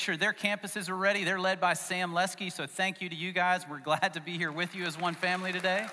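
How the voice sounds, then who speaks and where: Crowd noise fills the background as the speaker talks at a fairly quick pace. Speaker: pastor. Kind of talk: sermon. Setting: church.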